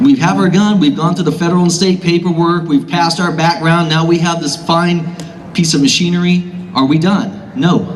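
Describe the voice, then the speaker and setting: Speech with an American accent, fairly even intonation and very even loudness, plus audible room echo and noticeable background noise. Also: man, high pitch for a man. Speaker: gun shop owner. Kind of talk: rally speech. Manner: fast.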